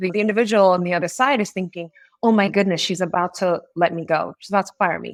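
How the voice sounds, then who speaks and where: A woman with an American accent talks in a normal speaking voice at medium pitch with ordinary pitch variation. The sound is dry and close, with no echo. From US Northeast, Springfield, Massachusetts. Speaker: marketing executive. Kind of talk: podcast interview. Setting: remote call.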